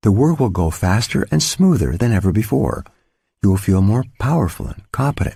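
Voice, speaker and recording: Over a very clean recording and silent background, a man with a fairly low pitch and a dark, mellow, somewhat breathy tone makes very wide pitch swings. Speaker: audiobook author-narrator. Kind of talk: audiobook narration, self-help.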